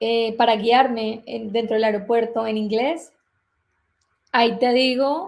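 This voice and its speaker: A woman's fairly high voice in a Colombian accent, with fairly even intonation at a very slow pace. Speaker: relocation consultant. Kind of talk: interview.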